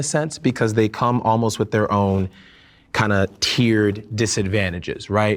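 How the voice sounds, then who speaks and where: Heard on a very clean recording with a silent background, a normal speaking voice with an American accent moves at a moderate pace. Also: man. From US, Caribbean American family. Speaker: panel discussion participant. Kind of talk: panel discussion.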